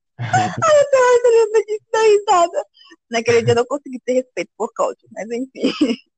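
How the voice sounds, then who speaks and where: Fairly slow, extremely high-pitched speech from a woman, with very wide pitch swings and music in the background. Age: 20s. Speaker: café worker, host's girlfriend. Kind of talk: casual interview.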